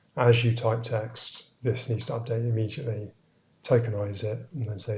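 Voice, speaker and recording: Somewhat breathy and monotone, flat in intonation, with an English accent. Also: man. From England. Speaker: software developer. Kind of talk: live-streamed technical talk. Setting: live stream. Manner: hesitant, many fillers.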